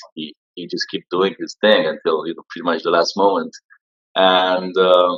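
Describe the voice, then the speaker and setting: A man with a Romanian accent talks at a moderate pace, his loudness swinging widely. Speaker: social media entrepreneur. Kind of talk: interview.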